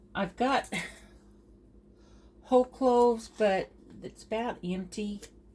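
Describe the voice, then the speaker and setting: A woman's fairly high, somewhat breathy voice with a dark, mellow tone, fairly even intonation, a very slow pace and long, frequent pauses. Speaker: home cook. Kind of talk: cooking tutorial. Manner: halting.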